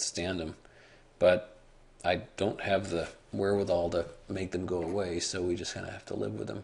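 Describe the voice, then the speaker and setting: A man's somewhat breathy voice at a moderate pace. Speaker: stock market blogger, trader. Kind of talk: chart analysis walkthrough.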